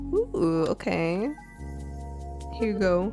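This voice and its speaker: Music plays behind a woman as she talks. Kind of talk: live game stream commentary. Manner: whispered.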